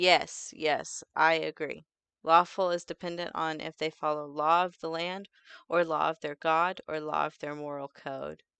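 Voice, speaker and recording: A woman speaks fairly slowly in a very deep, low voice with a bright, sharp tone, monotone and flat, with big swings in loudness. The sound is dry and close with no echo, over a quiet background. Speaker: vtuber streamer. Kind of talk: casual livestream chat.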